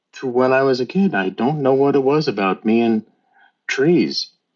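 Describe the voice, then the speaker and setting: A man talks at a moderate pace in a normal speaking voice. His pitch variation is ordinary. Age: 60s. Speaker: teacher and tree conservation volunteer. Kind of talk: interview.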